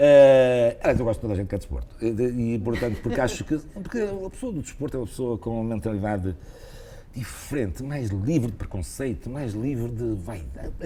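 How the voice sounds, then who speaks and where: A man speaks at a medium pitch with lively intonation. Noticeable background noise runs behind him. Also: fairly quick pace. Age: 60s. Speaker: retired cardiologist and former basketball player. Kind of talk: interview. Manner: hesitant, repeats words.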